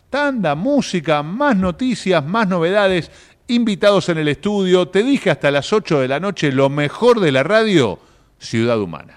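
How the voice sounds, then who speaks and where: A high-pitched man's voice with very wide pitch swings, at a fairly slow pace. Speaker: radio host. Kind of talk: radio interview.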